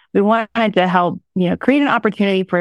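The recording is very clean, with a silent background and a dry, close sound with no echo, as a woman speaks in a plain, everyday voice at a medium pitch with ordinary pitch variation. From rural Oklahoma. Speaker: city economic development executive. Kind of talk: interview conversation.

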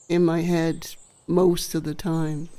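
Speaking with an American accent, a woman talks very slowly at a fairly low pitch in a dark, mellow tone. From US Midwest. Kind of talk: testimony. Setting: studio.

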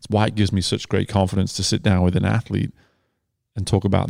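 A man with a British accent speaks very fast in a very deep, low voice with a dark, mellow tone and fairly even intonation. The recording is very clean, with a silent background. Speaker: swim coach and podcast host. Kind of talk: casual interview conversation. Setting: in person at a cafe.

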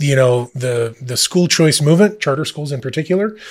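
Somewhat breathy, a man talks at a fairly quick pace with ordinary pitch variation in a very clean recording with a silent background. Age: 30s. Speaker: school administrator. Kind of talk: podcast interview.

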